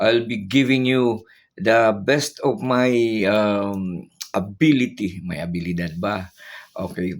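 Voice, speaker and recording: The pitch varies in an ordinary way. The pace is very slow. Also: man. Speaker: retired teacher turned vlogger. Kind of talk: political commentary vlog. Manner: sad-sounding, downbeat; halting with many fillers.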